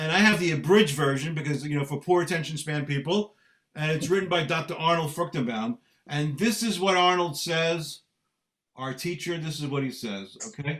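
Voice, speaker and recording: A Brooklyn accent at a moderate pace with ordinary pitch variation. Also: man, fairly high pitch for a man. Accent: New York (Brooklyn). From US Northeast (Brooklyn, New York). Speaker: Bible teacher. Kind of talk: Bible study lesson. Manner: jocular.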